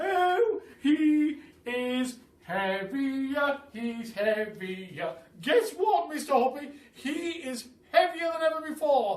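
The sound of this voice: With audible room echo, a man does a put-on character voice at an extremely high pitch, speaking at a slow pace with big pitch swings and few pauses.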